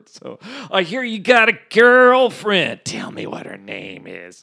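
In a gruff, put-on character voice, a man projects loudly at a high pitch and a fairly slow pace, with big swings in loudness. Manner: gruff, menacing yet saying a nice thing.

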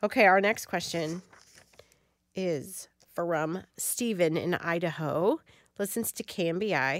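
A woman speaks at a fairly slow pace in a normal speaking voice. Her pitch sits in the middle range and varies in an ordinary way. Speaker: radio co-host reading listener questions. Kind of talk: call-in radio Q&A.

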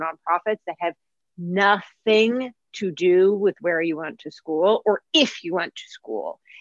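A woman with a normal speaking voice talks at a medium pitch with ordinary pitch variation, and the sound is dry and close with no echo. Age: 30s. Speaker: marketing agency executive. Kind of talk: interview.

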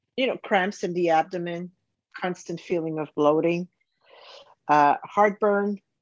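A woman's fairly low voice, very slow with long, frequent pauses and ordinary pitch variation, dry and close with no echo against a quiet background. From Canada. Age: 50s. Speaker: business owner and health coaching client. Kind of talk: testimonial interview. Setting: call. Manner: halting.

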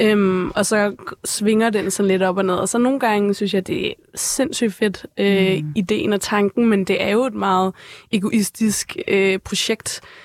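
A woman with a normal speaking voice talks at a fairly slow pace in a medium pitch, with ordinary pitch variation. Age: 20s. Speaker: photographer and K-pop expert. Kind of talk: casual chat. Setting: studio.

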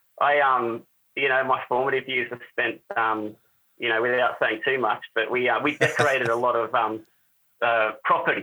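This man has an Australian accent and a medium pitch. He speaks at a moderate pace. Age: 30s. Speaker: spear gun maker. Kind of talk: casual interview. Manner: animated.

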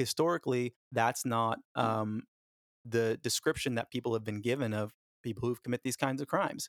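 A man with a normal speaking voice, medium pitch, fairly even intonation and a moderate pace, in dry, close sound with no echo. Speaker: social media personality and former actor. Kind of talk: casual interview conversation.

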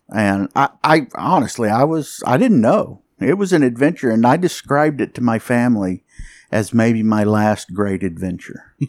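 A man with an unremarkable speaking voice talks at a moderate pace in a medium pitch, his intonation lively. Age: 60s. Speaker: geophysicist. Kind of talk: interview. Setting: in Jamaica.

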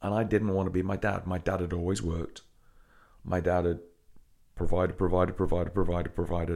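A man's very deep, low voice with a dark, mellow tone, a very fast pace and long, frequent pauses. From England. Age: 40s. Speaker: gym owner. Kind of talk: interview storytelling. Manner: energetic.

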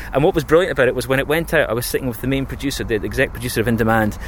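A man speaks at a very fast pace with a Scottish accent. Noticeable background noise runs underneath. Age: 30s. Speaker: radio imaging producer. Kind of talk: casual interview. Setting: outdoors.

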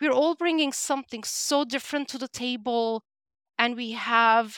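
In a Turkish accent, a woman talks at a moderate pace and high pitch, the sound dry and close with no echo on a very clean recording with a silent background. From Turkey. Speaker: talent development director. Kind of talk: interview.

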